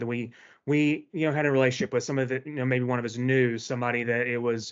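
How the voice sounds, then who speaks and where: Man's fairly high-pitched voice with a Tennessee accent. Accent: Southern US (Tennessee). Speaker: event host, employee group member. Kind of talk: event introduction speech. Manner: casual, many filler words.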